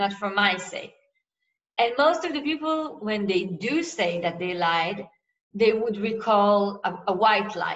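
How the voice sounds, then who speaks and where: Fairly slow pace and lively intonation from a woman with an Israeli accent, in audible room echo. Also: medium pitch for a woman. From Israel, Tel Aviv. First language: Hebrew. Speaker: novelist. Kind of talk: author interview.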